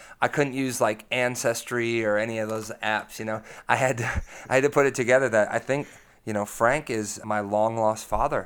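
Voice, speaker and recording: In an ordinary speaking voice, a man of medium pitch talks with fairly even intonation on a very clean recording with a silent background. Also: moderate pace. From United States. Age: 30. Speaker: blues-rock guitarist and singer. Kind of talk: casual interview. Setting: in person at the club.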